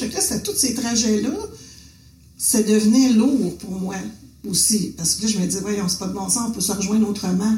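Over noticeable background noise and audible room echo, a woman talks at a fairly quick pace with a fairly high pitch. Her pitch variation is ordinary, and she leaves long, frequent pauses. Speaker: visual artist, printmaker, former art teacher. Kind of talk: casual conversation.

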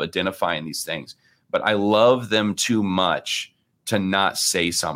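Very deep and low, a man's voice keeps a fairly even intonation. The recording is very clean, with a silent background. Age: 40s. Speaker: pastor and author. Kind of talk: interview. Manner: hesitant, many fillers.

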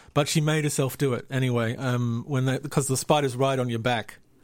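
Over a very clean recording with a silent background, a man talks at a medium pitch with fairly even intonation. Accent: Australian. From Australia. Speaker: spider enthusiast guest. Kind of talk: casual chat. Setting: studio.

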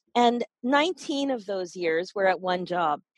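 A woman's voice with very wide pitch swings, dry and close with no echo. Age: 50s. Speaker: life and weight coach. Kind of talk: interview conversation.

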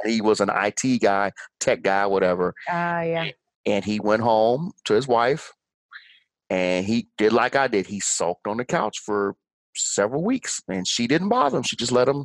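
In an ordinary speaking voice with an American accent, a man of medium pitch talks at a moderate pace with lively intonation, the sound dry and close with no echo against a quiet background. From Chicago, Illinois. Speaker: motivational speaker and author. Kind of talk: casual interview chat.

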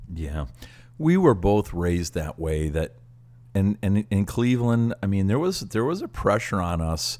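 With an unremarkable speaking voice, a man talks at a fairly slow pace. His pitch is fairly low, and his intonation is lively. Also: very clean recording, silent background. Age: 60s. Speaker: pastor and podcast co-host. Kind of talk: casual chat.

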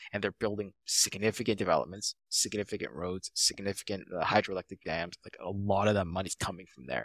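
Fairly low-pitched and fairly quick, a man talks with vocal fry, big swings in loudness and fairly even intonation in a dry, close recording with no echo. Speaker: paralegal and real estate investor. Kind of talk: casual interview.

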